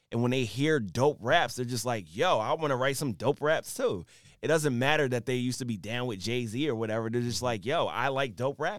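This man has an unremarkable speaking voice with an American accent, medium pitch, ordinary pitch variation and a fairly quick pace. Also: very clean recording, silent background. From Philadelphia, US. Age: 40s. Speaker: rapper and tech entrepreneur. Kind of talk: casual interview chat.

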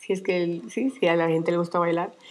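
A woman's voice, fairly low in pitch. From Colombia. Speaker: retired dentist, cancer survivor. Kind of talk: interview. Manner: halting.

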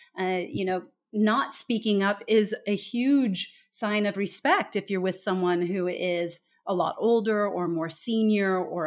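Her pitch fairly high, a woman speaks with an American accent. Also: very clean recording, silent background. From California. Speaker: author and communication trainer. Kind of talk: interview. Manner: loud.

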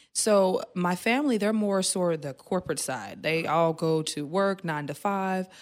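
A woman's medium-pitched, normal speaking voice at a moderate pace, with hardly any pauses and ordinary pitch variation, in a very clean recording with a silent background. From Oklahoma, Tulsa. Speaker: beauty entrepreneur. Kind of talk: interview. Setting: studio.

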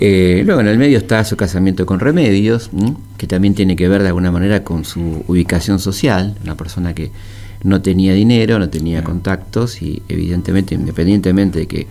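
A man's very deep, low voice at a fairly quick clip, over noticeable background noise. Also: ordinary pitch variation. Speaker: historian and radio host. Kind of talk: radio history talk. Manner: halting, many fillers.

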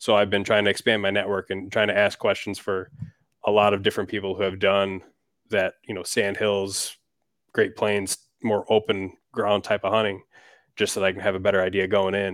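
With an Upper Midwest US accent, a man speaks at a fairly quick pace. His fairly low voice is monotone and flat. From Wisconsin. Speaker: hunting YouTuber. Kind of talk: interview.

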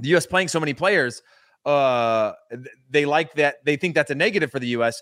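Fairly quick speech from a man, with ordinary pitch variation. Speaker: former soccer player, co-host. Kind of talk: casual sports chat. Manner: hesitant, many fillers.

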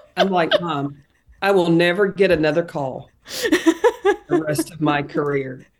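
Speaking at a fairly slow pace with a Tennessee accent, a woman uses a fairly low pitch and fairly even intonation. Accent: Southern, Tennessee drawl. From Tennessee, Knoxville. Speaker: basketball analyst and former coach. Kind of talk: casual chat.

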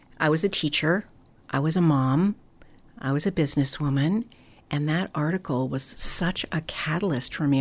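A woman with a very deep, low pitch speaks with vocal fry and ordinary pitch variation. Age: 60s. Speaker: foster care community founder. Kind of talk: interview.

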